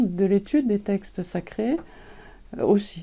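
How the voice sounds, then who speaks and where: At a fairly slow pace, a woman speaks with a dark, mellow tone, medium pitch and ordinary pitch variation. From France. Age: 70s. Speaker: translator and author. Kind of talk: interview. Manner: hesitant, many fillers.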